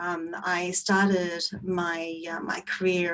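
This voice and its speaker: Noticeable background noise surrounds a woman whose voice sits at a medium pitch. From Australia. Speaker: designer, panelist. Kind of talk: panel discussion.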